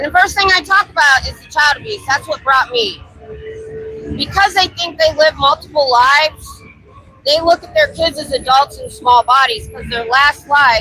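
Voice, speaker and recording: Her voice is raised and projected, high-pitched, with lively intonation, an American accent and a moderate pace. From Ohio. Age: 50s. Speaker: street activist and live streamer. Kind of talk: live street stream chat. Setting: outdoors on busy bar street. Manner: loud.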